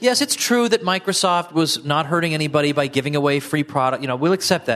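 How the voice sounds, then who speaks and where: A man at a fairly high pitch with ordinary pitch variation and a fairly quick pace, over noticeable background noise. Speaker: audience member asking questions. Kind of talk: Q&A. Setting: stage with audience.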